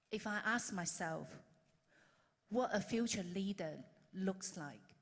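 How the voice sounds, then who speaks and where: A woman's medium-pitched voice with vocal fry, a fairly slow pace and ordinary pitch variation. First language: not English. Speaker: conference speaker. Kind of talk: lightning talk.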